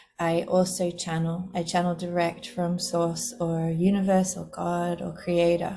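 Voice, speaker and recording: In an Australian accent, a woman speaks in a relaxed tone at a fairly slow pace, her pitch fairly low and her intonation monotone and flat. She leaves hardly any pauses, and noticeable background noise is present. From Australia, Sydney. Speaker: spiritual teacher and podcast host. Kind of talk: casual monologue. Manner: relaxed, easy flowing.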